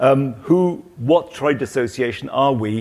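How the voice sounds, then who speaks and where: A man with a British accent at a fairly slow pace. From Britain. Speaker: trade association president, former company director. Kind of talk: panel discussion. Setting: stage with audience at trade show.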